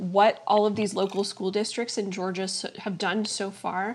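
A woman with a plain, everyday voice and medium pitch talks at a moderate pace. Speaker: political reporter. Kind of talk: political discussion. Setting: at home, remote.

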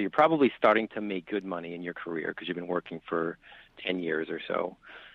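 This man has an ordinary speaking voice with a fairly low pitch. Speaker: financial advisor. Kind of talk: interview.

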